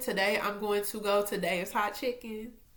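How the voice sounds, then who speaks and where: The delivery is animated, with a bright, sharp tone. It moves at a moderate pace, and room echo is audible. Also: woman. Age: 20s. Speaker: faith vlogger. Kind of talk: casual devotional vlog. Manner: loud.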